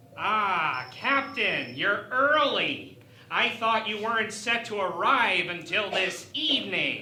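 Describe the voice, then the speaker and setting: A put-on character voice with a fairly high pitch, a fairly slow pace, and slight echo. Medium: audio drama. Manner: polite, diplomatic.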